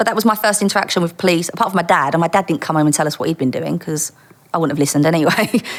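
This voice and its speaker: Talking at a very fast pace, a woman with a strong East London accent has a fairly low pitch and ordinary pitch variation. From Dagenham, East London, England. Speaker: former undercover police officer. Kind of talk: interview storytelling.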